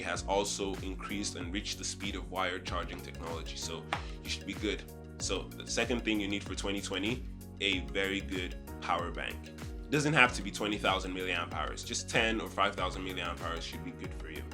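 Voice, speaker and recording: Very deep, low male pitch with very wide swings, a man speaking over music in the background. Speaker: tech YouTuber. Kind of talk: casual talk to camera.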